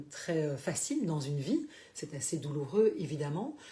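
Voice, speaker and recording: Somewhat breathy, a woman speaks with a dark, mellow tone. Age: 60s. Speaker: life coach / therapist. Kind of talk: live stream talk. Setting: Facebook live broadcast. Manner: hesitant, many fillers.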